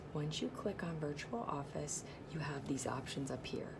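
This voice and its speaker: At a moderate pace, a woman whispers amid noticeable background noise and audible room echo. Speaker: direct sales consultant. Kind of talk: tutorial. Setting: at work. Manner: whispering.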